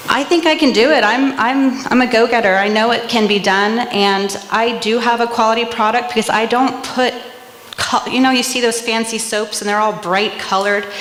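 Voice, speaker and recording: A woman speaks at a moderate pace with a fairly high pitch, fairly even intonation and very even loudness. Audible room echo and noticeable background noise are present. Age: 40s. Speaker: small business owner, soap maker. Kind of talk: pitch presentation.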